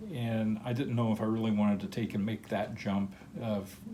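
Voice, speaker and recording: A man talks at a moderate pace. His pitch is fairly low, and there is noticeable background noise. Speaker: crystal collector, channel owner. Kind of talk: personal life story narration. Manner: casual with filler words.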